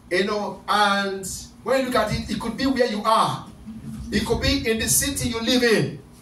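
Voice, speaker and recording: Loud and animated, a man talks in a high voice at a moderate pace with ordinary pitch variation. Audible room echo and light background noise surround him. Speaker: pastor leading prayer night. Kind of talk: fervent deliverance prayer, commanding and repetitive, rebuking spirits. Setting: church service with online Zoom attendees. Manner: loud, urgent, rhythmic repetition; animated, exhorting the congregation. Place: church.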